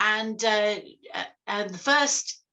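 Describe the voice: Plain reading aloud, ordinary pitch variation, quiet background.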